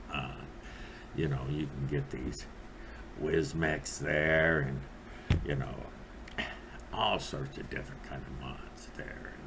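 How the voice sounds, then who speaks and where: A man talks at a very slow pace in a very deep, low voice, with long, frequent pauses and fairly even intonation. Audible room echo and noticeable background noise run through the recording. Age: 60s. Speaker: vape reviewer. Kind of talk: product review monologue. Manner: rambling with many fillers and hesitations.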